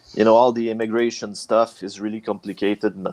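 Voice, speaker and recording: With a dry, close sound and no echo, a man talks at a fairly quick pace in a fairly low pitch. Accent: Quebec. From Quebec, Canada. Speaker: metal band vocalist and guitarist. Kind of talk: casual interview. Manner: halting.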